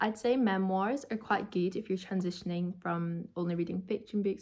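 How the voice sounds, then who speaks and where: Somewhat breathy, a woman's medium-pitched voice moves at a moderate pace with fairly even intonation. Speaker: book youtuber. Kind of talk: casual book review vlog. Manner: casual, filler-heavy.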